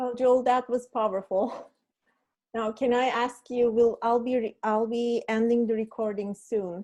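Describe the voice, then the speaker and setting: A woman with a non-native accent speaks in a dark, mellow tone, monotone and flat, at a fairly slow pace. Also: fairly high pitch for a woman. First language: not English. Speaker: meetup host and moderator. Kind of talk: online panel discussion.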